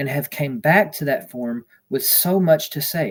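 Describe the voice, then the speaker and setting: Somewhat breathy, a man talks at a moderate pace with a fairly high pitch and ordinary pitch variation. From Texas. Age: 30s. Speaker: livestreamer sharing near-death experience. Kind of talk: reading aloud own written account. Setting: livestream.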